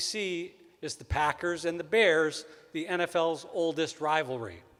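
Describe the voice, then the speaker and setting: A man's high-pitched voice in a Wisconsin accent. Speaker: event emcee, speech professor. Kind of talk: ceremony emcee address.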